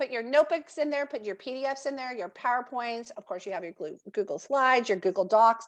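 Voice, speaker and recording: A woman with a normal speaking voice talks at a fairly high pitch. Her intonation is lively. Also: quiet background. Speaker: educational technology trainer. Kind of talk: software training webinar.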